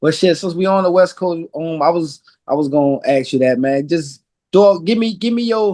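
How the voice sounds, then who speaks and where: A man speaks with a Louisiana accent at a moderate pace. His high pitch carries a dark, mellow tone with ordinary pitch variation. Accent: Louisiana accent, noticeable. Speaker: podcast host. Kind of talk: casual interview chat.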